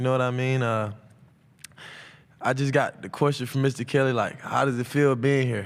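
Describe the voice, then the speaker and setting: A man with an American accent, medium-pitched, flat and monotone, at a moderate pace with long, frequent pauses. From Atlanta, Georgia (US South). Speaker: college football player. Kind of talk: press conference Q&A. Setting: media day press room. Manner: loud; casual, halting with fillers.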